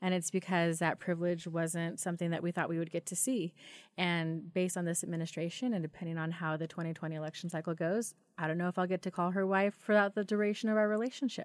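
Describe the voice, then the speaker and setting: A woman with a normal speaking voice and an American accent talks at a fairly quick pace with a fairly low pitch and fairly even intonation, on a very clean recording with a silent background. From Idaho, Wilder. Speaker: LGBT rights activist. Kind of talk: casual chat. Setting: studio.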